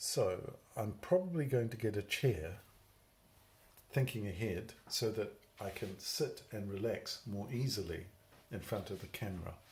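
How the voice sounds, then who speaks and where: In a British accent, a man speaks slowly and somewhat breathily at a fairly low pitch, his intonation lively and broken by long, frequent pauses. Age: 60s. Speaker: vlogger with Parkinson's. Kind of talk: personal video diary. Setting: alone at home filming at night. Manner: rambling, unhurried.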